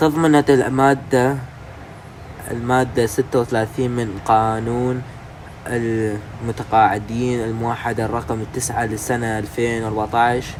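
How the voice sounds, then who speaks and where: Amid noticeable background noise, a man with an Iraqi accent speaks very slowly at a medium pitch with monotone, flat intonation. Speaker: YouTuber explaining news. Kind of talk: casual news explainer. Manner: halting.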